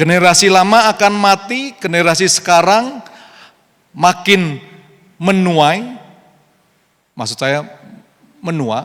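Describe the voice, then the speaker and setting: Pitched high, a man uses lively intonation while speaking at a very slow pace with long, frequent pauses. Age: 60s. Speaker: pastor. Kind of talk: sermon. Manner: code-switching Indonesian and English.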